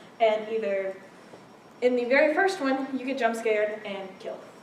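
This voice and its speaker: A woman with a fairly high voice speaks at a moderate pace with lively intonation, big swings in loudness and long, frequent pauses, over noticeable background noise and audible room echo. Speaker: club meeting presenter. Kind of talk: informal presentation to a group.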